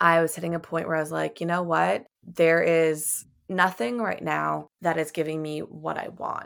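A woman with an American accent speaks at a moderate pace with hardly any pauses in a very clean recording with a silent background. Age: 20s. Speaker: digital nomad coach. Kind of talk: interview.

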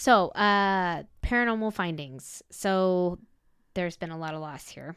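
A woman with an American accent speaks at medium pitch and a fairly slow pace, with ordinary pitch variation and big swings in loudness. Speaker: paranormal podcast co-host. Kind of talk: paranormal storytelling. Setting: video call.

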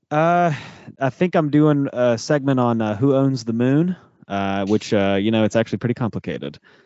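A man's unremarkable speaking voice, an unremarkable speaking voice at medium pitch, moderate in pace with lively intonation. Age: 30s. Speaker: podcast co-host, guest. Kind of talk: casual chat.

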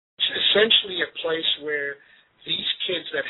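A man talks at a moderate pace. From Zimbabwe. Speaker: charity volunteer. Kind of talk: interview.

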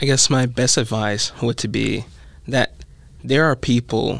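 A man's medium-pitched voice with vocal fry, fairly even intonation and a fairly slow pace, in a very clean recording with a silent background. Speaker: college student. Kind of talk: casual chat.

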